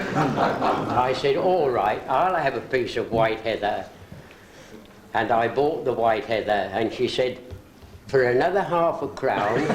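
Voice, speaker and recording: A man speaks at a fairly slow pace. Audible room echo and noticeable background noise are present. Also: medium pitch for a man, lively intonation. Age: 80s+. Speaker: retired orchestral percussionist. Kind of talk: birthday party speech. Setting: birthday gathering. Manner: formal.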